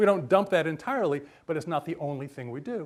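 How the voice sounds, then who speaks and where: Lively in intonation, a man rattles along at a very fast pace. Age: 60s. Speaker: university lecturer and life design coach. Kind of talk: lecture. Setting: stage with audience.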